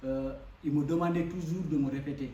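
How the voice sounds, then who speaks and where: A man with a West African accent and a fairly high pitch speaks at a moderate pace in a monotone, flat intonation, with audible room echo and noticeable background noise. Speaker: foreign student speaker. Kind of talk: speech at a community event. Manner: hesitant, many fillers.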